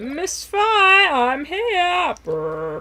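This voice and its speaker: A woman's put-on character voice, pitched extremely high. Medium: game stream.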